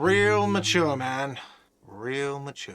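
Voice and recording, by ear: A man's whiny, put-on character voice at medium pitch, with lively intonation.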